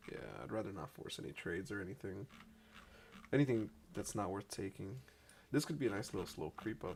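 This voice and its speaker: A man talks at a fairly quick pace with vocal fry. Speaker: futures trader live streamer. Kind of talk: live trading stream commentary. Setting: live stream.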